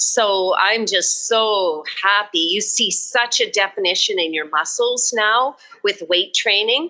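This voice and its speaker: In a western Canadian accent, a woman with a fairly high pitch and a bright, sharp tone speaks at a very slow pace with very even loudness. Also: ordinary pitch variation. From Canada, Alberta. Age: 70s. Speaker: barrel racer and rancher. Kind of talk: casual chat.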